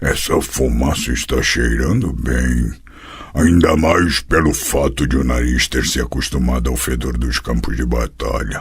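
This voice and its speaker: Over light background noise, a man does a put-on character voice at a moderate pace with a very deep, low pitch. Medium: read story. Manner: blunt, gruff.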